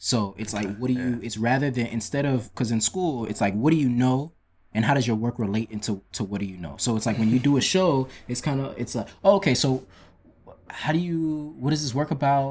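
An unremarkable speaking voice with an American accent talks at a fairly quick pace, with ordinary pitch variation. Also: man, medium pitch for a man. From Metro Atlanta, Georgia (Ivorian American family). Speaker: visual artist. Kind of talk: casual interview chat.

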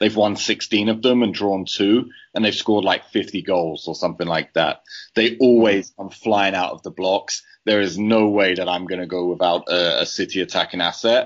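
A man speaks with a British accent. His pace is moderate and his intonation fairly even. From Britain. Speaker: fantasy football player. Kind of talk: casual chat.

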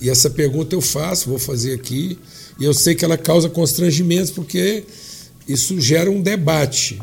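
With ordinary pitch variation, a man speaks at a fairly high pitch over noticeable background noise. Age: 60s. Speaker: pastor. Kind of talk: podcast interview.

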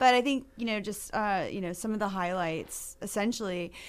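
Here a woman has an unremarkable speaking voice, medium in pitch and moderate in pace, on a very clean recording with a silent background. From Maine, US. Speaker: realtor association government affairs director. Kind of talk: radio interview.

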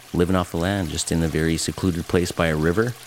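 The speech moves at a fairly quick pace with fairly even intonation. Noticeable background noise is present. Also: man. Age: 40s. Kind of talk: interview testimony. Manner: halting, with fillers.

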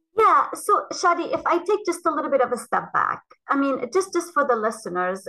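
A woman's raised, projected voice at a fairly quick pace, with very wide pitch swings. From Lebanon. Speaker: cytogeneticist. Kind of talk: interview.

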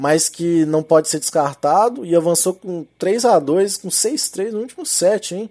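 In a Minas Gerais accent, a man speaks fairly slowly at a high pitch with a dark, mellow tone and ordinary pitch variation. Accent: mineiro Brazilian Portuguese. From Minas Gerais, Brazil. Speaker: sports betting tipster. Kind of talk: betting tips monologue. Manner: animated.

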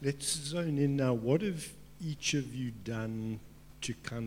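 A man's somewhat breathy voice carries ordinary pitch variation. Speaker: panel moderator. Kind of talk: panel discussion. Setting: stage with audience.

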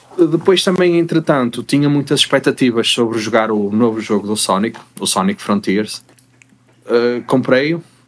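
He has an unremarkable speaking voice at a medium pitch. His intonation is lively, and his pace is moderate. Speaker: podcast co-host. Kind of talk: casual chat.

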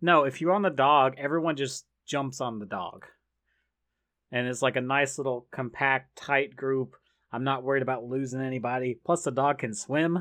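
With a quiet background, a man with an unremarkable speaking voice talks at a moderate pace, medium pitch and ordinary pitch variation. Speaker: podcast host. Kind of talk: casual chat.

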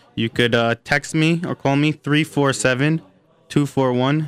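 The speech moves at a very slow pace with fairly even intonation, and the sound is dry and close with no echo. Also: man. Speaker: army volunteer veteran. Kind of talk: interview. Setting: studio.

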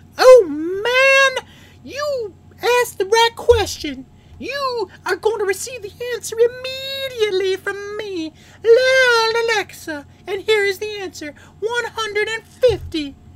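A put-on character voice with an extremely high pitch moves along at a fairly slow pace. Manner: mocking, pompous.

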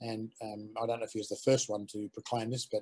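A man with an Australian accent, dark and mellow in tone, somewhat breathy, monotone and flat, at a fairly quick pace. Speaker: aquaponics educator. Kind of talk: casual interview chat. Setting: video call.

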